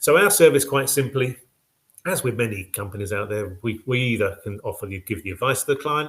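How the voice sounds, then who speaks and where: A man speaks at a fairly quick pace with ordinary pitch variation, recorded very cleanly over a silent background. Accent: British. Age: 60s. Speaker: mortgage packager company director. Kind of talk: business web show presentation. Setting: live web show with slides. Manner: casual, hesitant with fillers.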